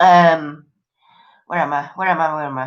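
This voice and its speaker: A woman with an English accent, speaking at a fairly slow pace. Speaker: live stream host. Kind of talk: casual chat. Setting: live stream. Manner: animated.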